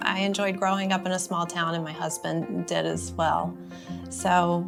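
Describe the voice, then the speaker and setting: A woman speaks in a Carolinas accent at a moderate pace. Music plays in the background. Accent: Southern US (Carolinas). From North Carolina, USA. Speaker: obstetrician-gynecologist. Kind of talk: casual talk to camera.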